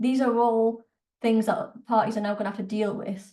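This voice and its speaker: A woman with a northern English accent speaks at a medium pitch, somewhat breathy, with monotone, flat intonation. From northern England, Newcastle. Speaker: politics lecturer. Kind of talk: Q&A in an online talk. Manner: halting, many fillers.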